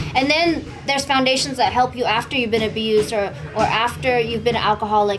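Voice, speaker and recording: Speaking very fast in a Vietnamese accent, a woman with a fairly high voice keeps her loudness very even and her pitch variation ordinary, with music in the background and audible room echo. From California, Bay Area (East Oakland, San Jose); born in Vietnam. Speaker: Muay Thai and MMA fighter. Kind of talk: interview. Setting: gym.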